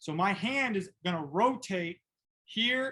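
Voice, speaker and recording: A loud man speaks with an American accent and an animated tone. His voice sits high for a man. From upstate New York. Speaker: football coach. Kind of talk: tutorial. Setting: video call.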